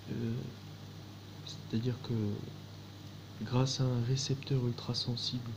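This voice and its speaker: Through noticeable background noise, a man at a medium pitch talks in a flat monotone. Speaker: video testimony speaker. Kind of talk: monologue testimony. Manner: slow, halting with many fillers.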